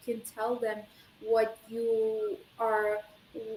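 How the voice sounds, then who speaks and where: A woman's fairly high voice with a dark, mellow tone. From Uzbekistan. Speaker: webinar co-host. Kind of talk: casual webinar chat.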